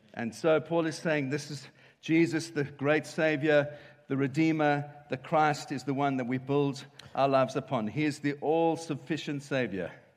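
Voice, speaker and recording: Speaking at a fairly slow pace, a man uses a plain, everyday voice of fairly high pitch with fairly even intonation. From South Africa, Cape Town. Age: 50s. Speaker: pastor. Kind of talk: sermon.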